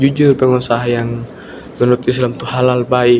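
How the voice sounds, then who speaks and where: A man speaks at a medium pitch in a flat monotone, with noticeable background noise. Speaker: university student. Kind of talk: student presentation. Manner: uneven volume and pitch; hesitant, many fillers.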